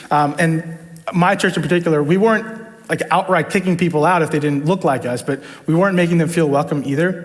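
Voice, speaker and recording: Over noticeable background noise, a man with an American accent speaks fairly quickly at a high pitch, with very even loudness and fairly even intonation. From New York, the Bronx. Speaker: church leadership team member. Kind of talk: testimony. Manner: casual, with many fillers.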